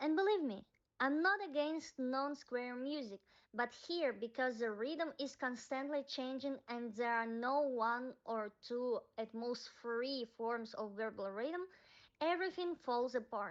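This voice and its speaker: A woman with a high pitch speaks at a fairly slow pace, her pitch varying in an ordinary way. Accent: non-native. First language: not English. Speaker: music commentator. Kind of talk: video essay.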